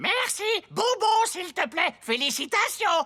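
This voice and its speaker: This cartoonish character voice is squeaky and extremely high, swinging very widely in pitch at a fairly slow pace. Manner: parroting, repeats words.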